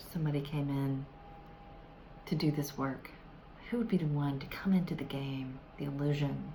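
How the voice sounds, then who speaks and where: With an American accent, a woman speaks in a very deep, low pitch at a moderate pace, with ordinary pitch variation, long, frequent pauses and light background noise. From US South. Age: older. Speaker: self-help vlogger. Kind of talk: tutorial. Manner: hesitant, many fillers. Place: home room. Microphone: phone near.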